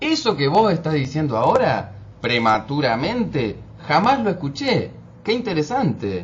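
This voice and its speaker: A man talks at a fairly slow pace in a fairly high voice. His pitch swings very widely. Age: 30s. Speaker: interviewer. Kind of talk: interview.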